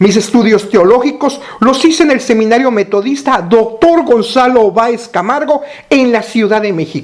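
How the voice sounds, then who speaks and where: With a Mexican accent, a man speaks in an extremely high pitch at a moderate pace, with ordinary pitch variation and noticeable background noise. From Mexico. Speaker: pastor. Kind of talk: recorded teaching.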